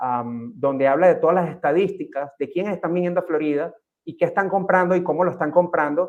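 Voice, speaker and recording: Speaking in a Venezuelan accent at a moderate pace, a man uses a high pitch with ordinary pitch variation. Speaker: real estate agent. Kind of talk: panel talk. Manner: halting, many fillers.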